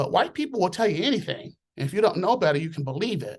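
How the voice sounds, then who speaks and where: A man with an American accent at a very fast pace, with very wide pitch swings over a quiet background. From Southern California. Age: 60s. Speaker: nurse. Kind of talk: casual chat.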